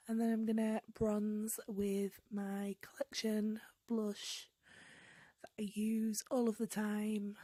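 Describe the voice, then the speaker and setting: A woman's somewhat breathy voice comes through with monotone, flat intonation. The sound is dry and close, without echo. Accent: British. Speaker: beauty vlogger. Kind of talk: makeup tutorial voiceover. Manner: casual, with filler ums.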